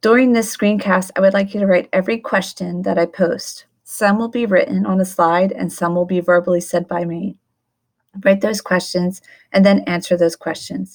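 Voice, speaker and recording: An ordinary speaking voice from a woman at medium pitch, fairly even in intonation, at a moderate pace, on a very clean recording with a silent background. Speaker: teacher. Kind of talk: recorded lecture screencast. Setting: screencast recording. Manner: instructional, measured.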